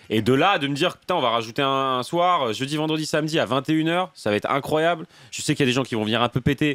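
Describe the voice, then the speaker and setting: Talking at a very fast pace, a man is heard in a dry, close sound with no echo. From Burgundy, raised near Arcachon, France. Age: 20s. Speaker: stand-up comedian. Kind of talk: interview answer. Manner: casual.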